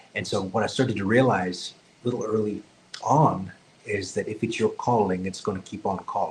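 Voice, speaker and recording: A man with an American accent at medium pitch and moderate pace, over noticeable background noise. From US South, rural. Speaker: psychic medium. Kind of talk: podcast interview. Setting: video podcast.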